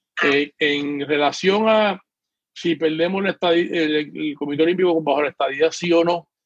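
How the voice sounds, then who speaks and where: In a dry, close sound with no echo, a man talks in an ordinary speaking voice, fairly high in pitch for a man, with fairly even intonation. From Puerto Rico. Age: 60s. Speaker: retired PE teacher and swim coach. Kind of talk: political panel discussion. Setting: video call.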